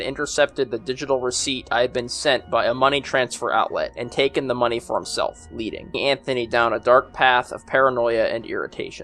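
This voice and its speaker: Against music in the background, the talking runs fairly fast. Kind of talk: storytelling narration to camera.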